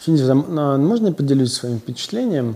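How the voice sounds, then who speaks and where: A man speaks at a medium pitch. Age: 40s. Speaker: psychotherapist. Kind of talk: interview conversation.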